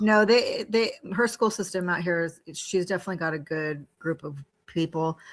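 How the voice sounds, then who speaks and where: A woman with an American accent, fairly low in pitch, at a moderate pace with ordinary pitch variation. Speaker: law office manager and mom. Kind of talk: casual chat.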